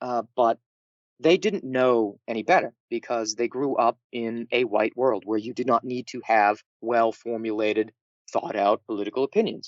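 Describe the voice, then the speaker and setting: A man talks with a New England accent. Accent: New England Yankee twang. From New England, US. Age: 30s. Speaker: political dissident guest. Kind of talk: interview.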